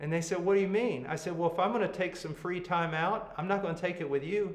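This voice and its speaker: The speech moves at a fairly quick pace. There is noticeable background noise and audible room echo. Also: man. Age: 60s. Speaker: preacher and Bible teacher. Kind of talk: Bible teaching to pastors. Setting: video call. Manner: blunt, emphatic.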